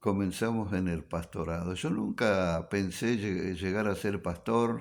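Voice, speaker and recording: A man talks with lively intonation at a very slow pace. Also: very clean recording, silent background. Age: 70s. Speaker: pastor. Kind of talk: radio talk, personal testimony.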